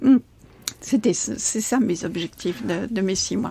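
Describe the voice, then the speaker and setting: A woman speaks at a fairly high pitch. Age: 60s. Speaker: coach. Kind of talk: podcast interview. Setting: in person, by a marina. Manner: hesitant with many fillers.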